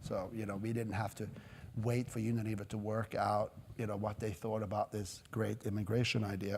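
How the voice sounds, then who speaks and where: Somewhat breathy and fairly low in pitch, a man talks at a fairly quick pace with monotone, flat intonation. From Norway. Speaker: company executive. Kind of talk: interview. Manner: halting.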